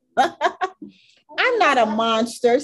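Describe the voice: A female-sounding voice, gravelly and high-pitched for a woman. It is a put-on character voice.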